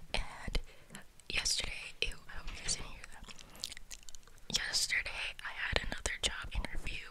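A woman is whispering. She goes at a moderate pace. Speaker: ASMR creator. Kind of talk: ASMR whisper ramble, casual talk to camera. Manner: whispered. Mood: tired, venting. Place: home room. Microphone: studio mic.

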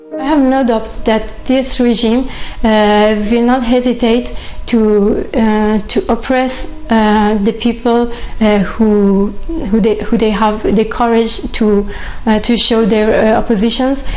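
Speaking very slowly with a Persian accent, a woman keeps her intonation fairly even over light background noise. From Iran. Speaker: chess grandmaster. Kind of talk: interview answer. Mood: calm, earnest, reflective. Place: home room.

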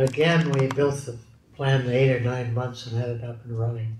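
In a room with audible echo, a man talks in a monotone, flat intonation, his voice somewhat breathy. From British Columbia, Canada. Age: 90s. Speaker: steel industry pioneer; interviewee. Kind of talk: oral history interview. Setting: recorded interview.

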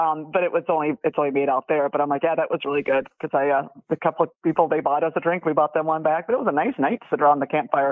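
Talking very fast with hardly any pauses, a woman with an Upper Midwest accent keeps her very deep, low voice at a very even loudness and uses ordinary pitch variation. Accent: Upper Midwest American. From Wisconsin. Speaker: caller, fan of the show. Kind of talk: casual chat. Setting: phone call. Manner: animated, laughs often.

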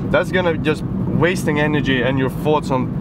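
Loud background noise surrounds a man speaking at a fairly quick pace, the sound dry with no echo. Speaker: fitness vlogger. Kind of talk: casual vlog chat. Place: car.

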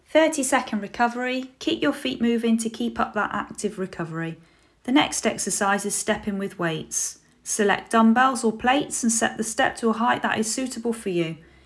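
On a very clean recording with a silent background, a woman with a fairly high, somewhat breathy voice speaks at a moderate pace with ordinary pitch variation. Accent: British. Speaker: fitness apprentice. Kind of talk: scripted exercise instruction. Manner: clear, measured, instructional.

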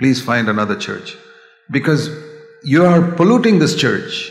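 A man at a moderate pace, with audible room echo and faint music in the background. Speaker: preacher. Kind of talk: sermon. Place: church. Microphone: podium.

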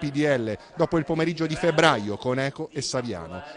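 Here is a man with a normal speaking voice, pitched fairly high. He talks at a fairly quick pace with lively intonation. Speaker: news reporter. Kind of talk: TV news report narration.

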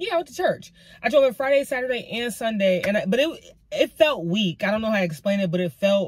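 Somewhat breathy, a woman talks at a fairly quick pace. The sound is dry with no echo. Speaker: lifestyle vlogger. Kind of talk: casual vlog chat. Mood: frustrated but chatty. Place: car. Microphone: phone near.

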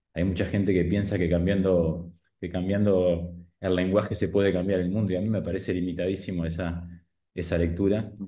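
A man with a very deep, low pitch talks at a fairly quick pace in a dark, mellow tone. His intonation is monotone and flat, and the background is quiet. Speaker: audience member asking question; audience member. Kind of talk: academic Q&A. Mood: thoughtful, critical. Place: kitchen. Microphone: webcam.

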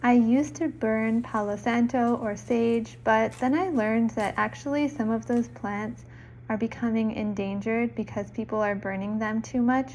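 Soft-spoken and somewhat breathy, a woman speaks at a moderate pace with a fairly high pitch and ordinary pitch variation. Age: 30s. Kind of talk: soft-spoken lifestyle vlog narration.

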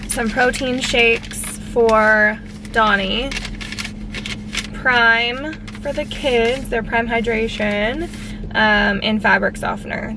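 A woman at a fairly slow pace, with a dry sound with no echo and noticeable background noise. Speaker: lifestyle vlogger. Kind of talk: casual vlog chat. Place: car. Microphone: phone near.

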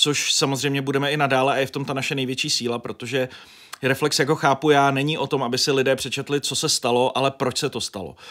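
At a fairly quick pace, a man with a fairly high pitch talks in a monotone, flat intonation over a quiet background. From northern Bohemia, Děčín; northern Bohemia. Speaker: journalist and editor-in-chief; journalist. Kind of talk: interview. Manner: talkative, rambling with fillers. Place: studio. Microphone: studio mic.

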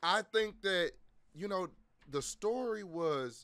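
Projecting a raised voice with a bright, sharp tone, a man speaks at a fairly slow pace with lively intonation. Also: quiet background. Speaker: streamer. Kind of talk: casual stream chat, storytelling. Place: home room. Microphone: headset.

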